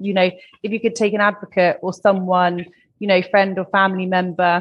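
This woman has a British accent. Her intonation stays fairly even. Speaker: podcast host. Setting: video call.

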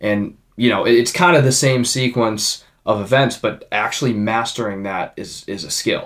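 A man's normal speaking voice at medium pitch, moderate pace, ordinary pitch variation and hardly any pauses. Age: 20s. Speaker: podcast host and young real estate investor. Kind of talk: casual interview chat.

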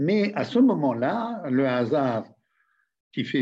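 Very wide pitch swings mark a man's fairly high voice as he speaks at a very slow pace. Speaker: retired diplomat. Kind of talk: interview. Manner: halting.

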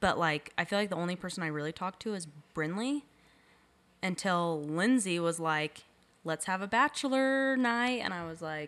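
A woman with a normal speaking voice talks at a moderate pace and a medium pitch with lively intonation, in a very clean recording with a silent background. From Utah. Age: 20s. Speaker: podcast co-host. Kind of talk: casual chat.

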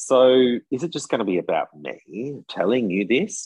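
An Australian accent comes through. The voice belongs to a man. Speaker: tour guide in France. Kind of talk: casual chat.

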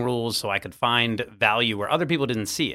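An unremarkable speaking voice belongs to this man, pitched medium. He moves at a fairly quick pace with ordinary pitch variation. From Virginia Beach, US. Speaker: real estate agent and podcast host. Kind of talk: interview conversation.

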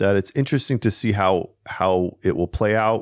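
A man with an American accent speaks in a fairly low pitch with ordinary pitch variation, an unremarkable speaking voice. The sound is dry and close, with no echo. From US. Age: 30s. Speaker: podcast host. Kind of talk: casual chat. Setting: studio.

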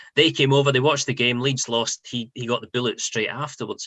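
In a Scottish accent, a man speaks at a very fast pace. His pitch sits at a medium level. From Scotland, near Edinburgh. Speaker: football journalist. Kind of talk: interview.

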